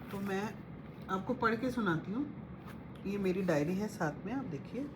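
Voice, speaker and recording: There is audible room echo around a woman's voice. She has a medium pitch and lively intonation. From Punjabi family, North India. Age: 50s. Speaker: spiritual devotee sharing guru messages. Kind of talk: devotional talk with diary reading.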